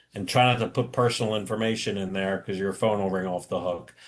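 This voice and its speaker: A man is speaking. The background is quiet. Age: 60s. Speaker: insurance and caregiving services presenter. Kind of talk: webinar Q&A. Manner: halting, with repetitions.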